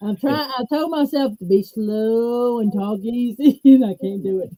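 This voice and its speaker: Fairly high in pitch with a dark, mellow tone, a woman speaks slowly-ish in a Southern US accent, her pitch varying in an ordinary way, at a fairly slow pace. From US Gulf Coast, Mobile, Alabama. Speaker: stroke survivor. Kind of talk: interview.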